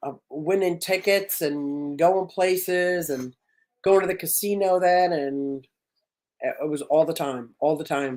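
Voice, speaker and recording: In a normal speaking voice, a woman with fairly low pitch and ordinary pitch variation talks at a fairly slow pace. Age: 60s. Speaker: fish keeper and content creator. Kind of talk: casual chat.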